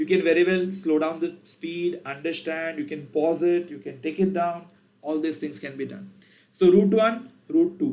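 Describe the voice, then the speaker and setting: A man in an Indian accent at a moderate pace, high-pitched, with ordinary pitch variation and big swings in loudness. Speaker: programming teacher. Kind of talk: tutorial.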